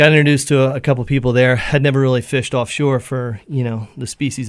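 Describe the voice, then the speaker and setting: A man with an American accent speaks at a very fast pace and medium pitch, his intonation fairly even. The recording is very clean with a silent background. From Pennsylvania, US. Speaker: chef and fisherman. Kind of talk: casual radio interview. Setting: radio studio.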